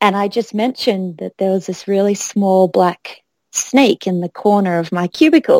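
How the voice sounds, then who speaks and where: A woman with an Australian accent, medium pitch, ordinary pitch variation, and a moderate pace, in a dry, close sound with no echo. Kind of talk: casual chat.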